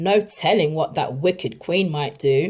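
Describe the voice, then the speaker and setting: This is a put-on character voice with a growling quality and middle pitch. The pace is moderate. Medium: read story.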